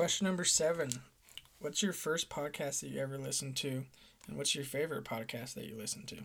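Here a man talks at a fairly quick pace in a plain, everyday voice. His pitch is fairly high, with ordinary variation. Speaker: fiance asking questions. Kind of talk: casual interview questions.

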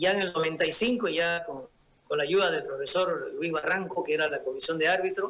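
A man talks at a moderate pace. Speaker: former football referee. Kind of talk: radio interview. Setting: video call.

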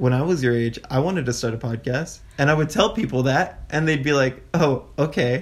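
This man's voice is somewhat breathy. He speaks at a moderate pace. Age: 20s. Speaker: podcast guest. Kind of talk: casual chat.

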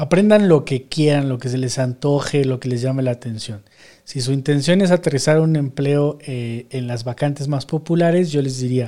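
In a Mexican accent, a man with a dark, mellow tone and medium pitch speaks at a moderate pace with ordinary pitch variation on a very clean recording with a silent background. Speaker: podcast host, programmer. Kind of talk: casual chat.

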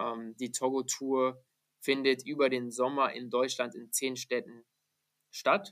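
Speaking very slowly, a man uses a medium pitch and fairly even intonation, with big swings in loudness. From Germany. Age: 20s. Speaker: American football team operations manager. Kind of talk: podcast interview.

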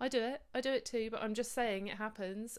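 This woman has a fairly high pitch and speaks with an English accent. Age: 30s. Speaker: podcast host. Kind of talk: casual monologue.

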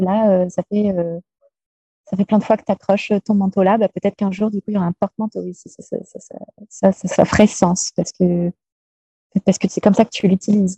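A woman speaks at a moderate pace in a flat monotone. Her tone is dark, mellow and somewhat breathy, with a dry, close sound and no echo. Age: 30s. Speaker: digital nomad entrepreneur. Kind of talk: interview. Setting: video call.

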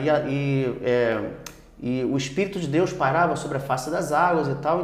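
The voice shows ordinary pitch variation amid audible room echo and noticeable background noise. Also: man. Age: 40s. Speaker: pastor and theology teacher. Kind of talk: Bible study discussion.

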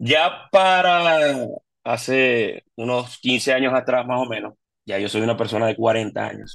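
A man talks at a very slow pace with a medium pitch. The background is quiet. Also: ordinary pitch variation. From Venezuela, Maracaibo. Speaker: percussionist and percussion teacher. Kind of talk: interview.

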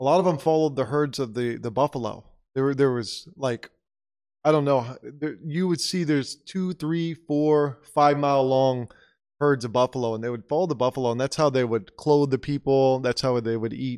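Speaking with an American accent at a fairly quick pace, a man with a fairly high pitch and ordinary pitch variation is heard over a quiet background. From US, Oklahoma small town. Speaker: podcast co-host. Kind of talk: casual chat.

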